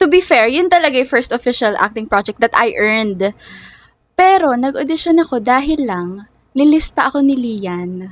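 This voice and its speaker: Speaking at a moderate pace, a woman moves through very wide pitch swings. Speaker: singer and actor. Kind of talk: casual chat.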